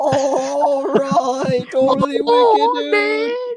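A squeaky, put-on character voice, fairly high in pitch and very slow in pace. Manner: laid-back, dudebro.

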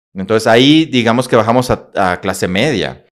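Speaking at a fairly quick pace, a man with a plain, everyday voice keeps a medium pitch and ordinary pitch variation. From northern Mexico, Coahuila. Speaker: motivational speaker and psychologist. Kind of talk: casual interview storytelling.

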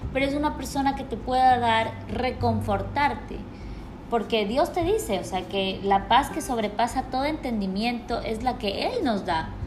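A woman speaks at a fairly slow pace with lively intonation and a fairly high pitch. Noticeable background noise and audible room echo surround her voice. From Ecuador, Quito. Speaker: podcast co-host. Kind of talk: casual chat.

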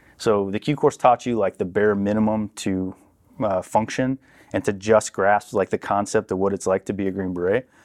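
Recorded very cleanly with a silent background and a dry, close sound with no echo, a man with an American accent speaks at a fairly low pitch with fairly even intonation and an unremarkable speaking voice. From Southern California. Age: 30s. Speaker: military veteran and youth mentor. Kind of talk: casual interview conversation.

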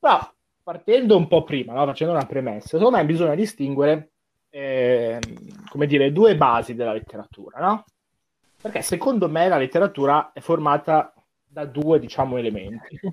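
A man with a fairly high voice talks at a moderate pace with lively intonation and long, frequent pauses. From Como, Lombardy, Italy. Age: 20s. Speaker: literature student. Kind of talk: casual chat.

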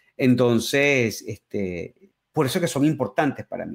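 Spoken at a fairly slow pace, this is an ordinary speaking voice with ordinary pitch variation. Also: man. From Venezuela, Caracas. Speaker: music YouTuber and musician. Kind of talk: interview.

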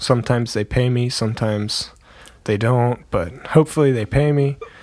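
A plain, everyday voice with ordinary pitch variation, captured in a very clean recording over a silent background. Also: man. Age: 20s. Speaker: podcast co-host. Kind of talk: casual chat. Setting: studio.

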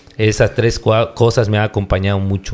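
Fairly low in pitch, a man's voice moves at a fairly slow rate. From Yucatán, Mexico. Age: 40s. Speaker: pastor. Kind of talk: casual interview. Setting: on location, not in the studio.

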